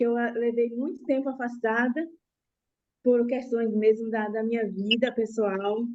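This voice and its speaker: At a fairly slow pace, a woman with a fairly high pitch and fairly even intonation speaks in an unremarkable speaking voice. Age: 60s. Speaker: student, educator. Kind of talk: class testimony.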